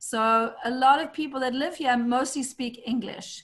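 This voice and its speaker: A woman's high-pitched voice in a South African accent, moderate pace and ordinary pitch variation, against a quiet background. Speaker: real estate agent and community call host. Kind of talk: online community call introduction.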